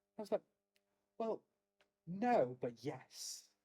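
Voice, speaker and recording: With a North Welsh accent, this voice has a dark, mellow tone, swings very widely in pitch, and sounds dry and close with no echo. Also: man. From Wales, Anglesey (Holyhead area). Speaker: druid order member. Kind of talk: casual chat. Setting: office.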